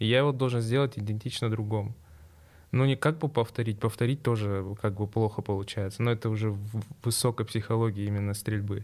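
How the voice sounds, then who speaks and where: Moving at a fairly quick pace, a man with an unremarkable speaking voice, medium pitch and fairly even intonation is heard on a very clean recording with a silent background. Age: 20s. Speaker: sport shooter. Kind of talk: interview.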